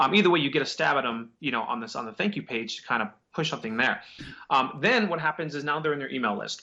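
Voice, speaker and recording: A man talks at a very fast pace. His pitch is fairly high and his intonation lively. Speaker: digital marketing agency owner. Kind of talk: interview on marketing tips. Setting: video call. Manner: casual, many fillers.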